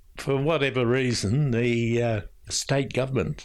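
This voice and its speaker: With an Australian accent, a man speaks at a moderate pace in a very clean recording with a silent background. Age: 80s. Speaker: older resident and family carer. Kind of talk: interview recollection.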